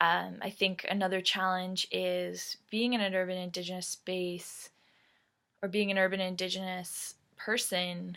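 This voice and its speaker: A woman with a Canadian accent, bright and sharp in tone, monotone and flat, at a fairly slow pace, in a very clean recording with a silent background. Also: medium pitch for a woman. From Canada, Ontario (Mississauga). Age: 20s. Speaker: Métis youth community representative. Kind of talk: prepared personal talk. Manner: frequent 'um' fillers.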